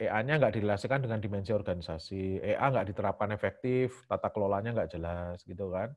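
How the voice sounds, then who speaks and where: This man has a normal speaking voice with lively intonation. He talks at a fairly quick pace against a quiet background. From Central Java, Indonesia (Semarang). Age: 40s. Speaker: IT lecturer and enterprise architecture researcher. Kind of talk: lecture. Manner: fast.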